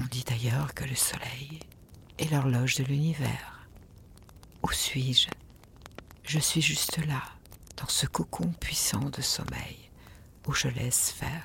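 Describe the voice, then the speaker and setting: A woman's very deep, low voice with ordinary pitch variation, at a very slow pace broken by long, frequent pauses. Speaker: sleep meditation narrator. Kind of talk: guided meditation. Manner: soft-spoken.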